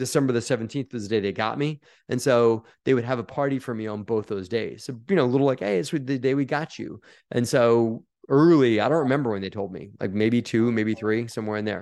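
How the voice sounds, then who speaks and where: Against a quiet background, a man speaks at a medium pitch in an ordinary speaking voice. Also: ordinary pitch variation, fairly quick pace. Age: 40s. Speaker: real estate investor. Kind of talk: interview.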